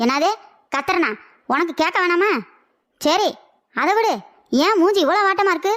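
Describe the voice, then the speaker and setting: Shouting in a cartoonish character voice at an extremely high pitch, a woman keeps her loudness very even while her intonation stays lively. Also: moderate pace. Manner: shouting, teasing.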